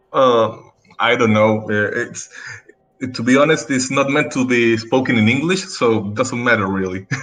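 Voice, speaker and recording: In a Chilean accent, a man speaks at medium pitch and a moderate pace, with ordinary pitch variation. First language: Spanish. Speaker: dentist and game league player. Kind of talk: podcast interview. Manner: halting.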